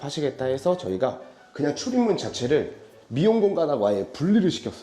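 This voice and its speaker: Very wide pitch swings from a male speaker, with noticeable background noise. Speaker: interior design company head giving site tour. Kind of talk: site walkthrough presentation. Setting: on location at a hair salon.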